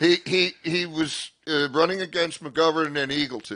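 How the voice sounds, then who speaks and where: Against a quiet background, a man with a bright, sharp tone speaks animatedly at a moderate pace. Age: 60s. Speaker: comedian. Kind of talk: stand-up.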